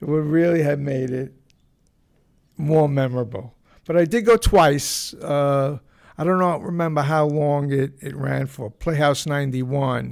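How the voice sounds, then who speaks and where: A fairly high-pitched man in a New York accent, at a fairly slow pace. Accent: New York (Bronx). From New York, the Bronx. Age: 70s. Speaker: podcast host. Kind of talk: casual monologue. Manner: halting, many fillers and repeats.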